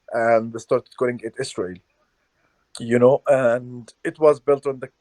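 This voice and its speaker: A man speaks at a moderate pace with an Arabic accent and a dark, mellow tone. The sound is dry and close, with no echo. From Palestine, Hebron. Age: 20s. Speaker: journalist and activist. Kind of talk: interview.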